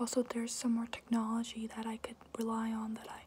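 A woman whispers at a moderate pace. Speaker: ASMR creator. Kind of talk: ASMR Q&A talk to camera. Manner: whispered. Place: home room. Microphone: phone near.

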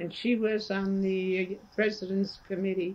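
At a slow pace, a woman speaks with a medium pitch and a slightly mellow tone.

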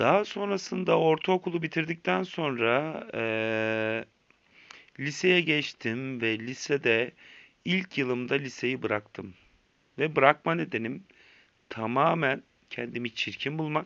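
A man with a medium pitch speaks at a very slow pace, his intonation lively. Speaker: vlogger sharing addiction story. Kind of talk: personal testimony monologue. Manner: hesitant, many filler sounds.

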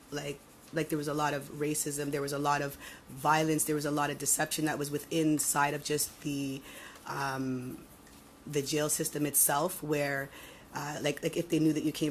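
With a Toronto accent, a woman speaks at a moderate pace in a very deep, low, monotone voice with flat intonation. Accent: Toronto Canadian English. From Toronto, Canada. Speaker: former prisoner. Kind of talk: testimony. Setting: committee hearing room. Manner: halting.

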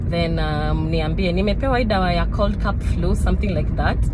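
Music plays in the background of this dry recording with no echo. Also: woman. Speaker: vlogger. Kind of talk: casual vlog chat. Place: car. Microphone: phone near.

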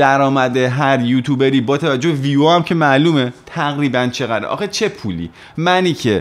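Lively intonation carries this voice along at a moderate pace. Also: man, fairly high pitch for a man. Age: 30s. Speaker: music youtuber and musician; music youtuber. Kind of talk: personal monologue to camera. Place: home room. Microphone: studio mic.

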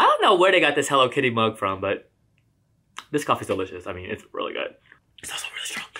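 A man's bright, sharp tone carries vocal fry over a quiet background. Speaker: book vlogger. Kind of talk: casual vlog chat. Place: home room. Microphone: camera far.

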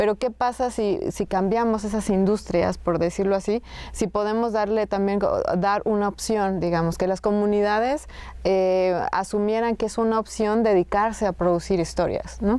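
A woman speaks at a moderate pace with a dark, mellow tone and very even loudness. Her intonation is fairly even, and the sound is dry with no echo. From Sierra Norte of Oaxaca, Mexico (Zapotec community); Oaxaca, Mexico. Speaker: filmmaker; guest. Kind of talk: casual conversation. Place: hall.

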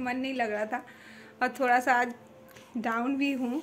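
A woman speaks at a moderate pace in a monotone, flat delivery. Light background noise sits behind her. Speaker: home vlogger. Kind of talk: casual vlog chat. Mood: a little low, chatty. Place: home room. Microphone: phone near.

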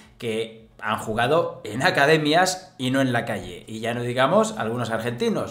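A man's medium-pitched voice with audible room echo and a quiet background. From Spain. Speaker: football commentator youtuber. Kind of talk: casual commentary to camera, sports news. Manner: animated, sarcastic, informal. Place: home room.

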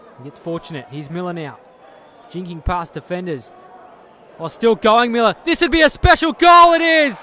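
A man with a high pitch talks at a fairly quick pace in a raised, projected voice, with an animated tone, very wide pitch swings and big swings in loudness. Long, frequent pauses break up his speech over noticeable background noise. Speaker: football match commentator. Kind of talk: live sports commentary. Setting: stadium match broadcast. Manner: fast-paced, animated, excitable play-by-play; rising, emphatic delivery on goals.

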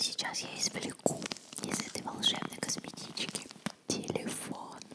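A woman is whispering. She goes at a fairly slow pace. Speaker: ASMR video creator. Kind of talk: casual talk to camera. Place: home room. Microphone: studio mic.

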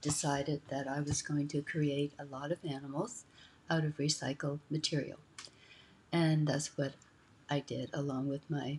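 Over light background noise, a woman with a very deep, low, somewhat breathy voice speaks in a monotone, flat way at a moderate pace with long, frequent pauses. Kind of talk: casual vlog chat. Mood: cheerful, playful. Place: home room. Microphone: webcam.

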